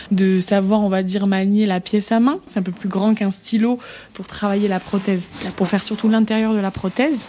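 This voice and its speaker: A woman with a medium pitch and a dark, mellow tone speaks at a fairly slow pace. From southern France, Montpellier. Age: 20s. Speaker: ocularist and social media creator. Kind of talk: interview. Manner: animated.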